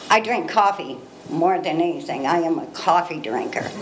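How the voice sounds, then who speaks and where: In an American accent, a woman talks at a fairly quick pace. Noticeable background noise and audible room echo surround her voice. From Northern California, Ukiah area. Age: 60s. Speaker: member of the public. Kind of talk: public comment.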